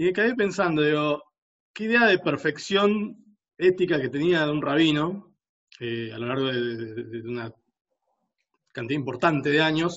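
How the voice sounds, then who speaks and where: Speaking with a Rioplatense accent, a man uses a fairly high pitch and lively intonation. He keeps a moderate pace with long, frequent pauses. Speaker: podcast host. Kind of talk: casual chat.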